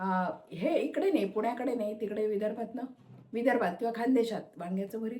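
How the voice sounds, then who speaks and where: A woman's dark, mellow tone at a fairly high pitch, with lively intonation. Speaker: cooking video creator. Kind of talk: cooking tutorial. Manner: casual, chatty.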